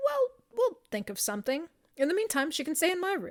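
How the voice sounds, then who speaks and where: Putting on a squeaky character voice, a woman speaks high and fairly quickly with very wide pitch swings. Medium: read story. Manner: chirpy, casual.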